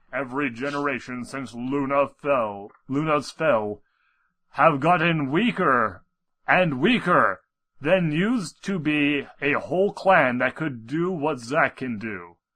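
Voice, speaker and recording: A man's put-on character voice, fairly high-pitched and fairly slow, over a quiet background. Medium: read story. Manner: solemn, explanatory.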